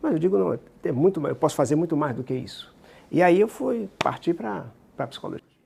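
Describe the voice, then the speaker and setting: A man's dark, mellow voice at a fairly high pitch, with vocal fry, very wide pitch swings and a fairly quick pace. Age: 70s. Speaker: psychologist and regression therapist. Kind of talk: interview.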